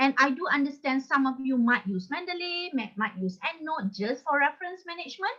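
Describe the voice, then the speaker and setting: Projecting a raised voice, a woman with a high pitch speaks at a fairly quick pace, her pitch swinging very widely. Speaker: academic trainer. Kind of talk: online workshop presentation.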